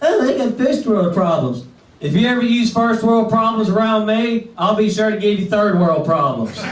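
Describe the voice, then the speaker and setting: A man with a Southern US accent talks at a moderate pace in a high pitch. Noticeable background noise and audible room echo fill the recording. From Mississippi. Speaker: stand-up comedian. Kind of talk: stand-up. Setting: stage with audience.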